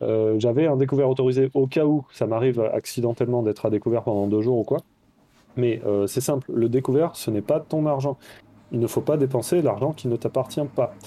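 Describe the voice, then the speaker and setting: This man has an ordinary speaking voice at a medium pitch, with very even loudness. He talks at a fairly quick pace with fairly even intonation. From France, Toulouse. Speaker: money-saving blogger. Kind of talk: casual interview.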